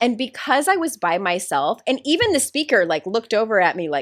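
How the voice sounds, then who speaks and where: A woman talks loudly at a fairly quick pace, her pitch swinging very widely. The recording is very clean, with a silent background. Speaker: life coach and author. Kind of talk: podcast interview.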